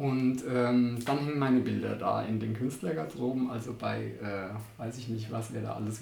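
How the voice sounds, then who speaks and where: A man at a medium pitch speaks with fairly even intonation, with audible room echo and noticeable background noise. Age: 50s. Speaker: artist. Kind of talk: casual interview. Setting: artist's studio.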